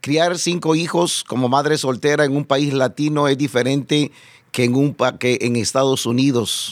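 A man speaks at a fairly slow pace, his medium-pitched voice keeping a fairly even intonation. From El Salvador. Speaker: pastor and evangelist. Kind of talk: testimony interview. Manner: halting, repeats words.

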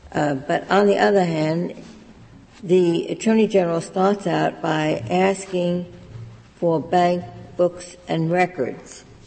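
The speech moves at a very slow pace. Noticeable background noise runs underneath it. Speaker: judge questioning counsel. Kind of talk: courtroom questioning. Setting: courtroom.

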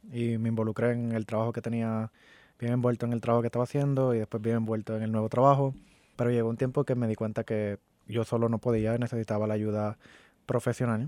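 A man at a medium pitch talks at a very fast pace in a monotone, flat intonation, with a dry, close sound, no echo, and a very clean recording with a silent background. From Puerto Rico. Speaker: community advocate and shooting survivor. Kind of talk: interview. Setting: studio.

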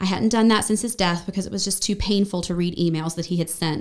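Speaking very fast in an American accent, a woman keeps a medium pitch and fairly even intonation. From western North Carolina (Brevard, Asheville). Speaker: church member sharing her life story. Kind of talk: personal testimony in a podcast interview.

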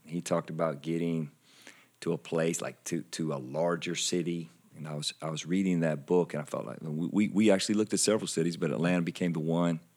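A man talks very fast with a Southern US accent. His pitch is very deep and low. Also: fairly even intonation, very clean recording, silent background. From South Carolina. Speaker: church pastor. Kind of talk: casual interview chat.

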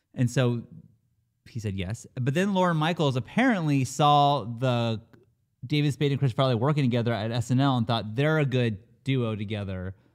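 A man with a normal speaking voice talks at a moderate pace, his medium pitch moving with ordinary variation, on a very clean recording with a silent background. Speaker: podcast co-host. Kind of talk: casual banter.

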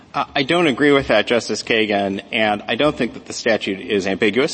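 A man speaks at a fairly quick pace in an ordinary speaking voice. His pitch is medium, with ordinary variation. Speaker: lawyer arguing before supreme court. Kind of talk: oral argument. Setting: courtroom. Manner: formal.

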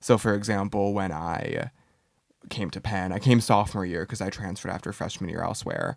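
This man has an unremarkable speaking voice, fairly low in pitch, with fairly even intonation. He talks at a fairly quick pace on a very clean recording with a silent background. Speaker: graduating college senior. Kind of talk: casual chat.

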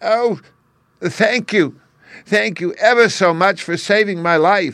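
This man uses a put-on character voice, squeaky and high-pitched. He goes at a fairly slow pace in a very clean recording with a silent background. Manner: grateful.

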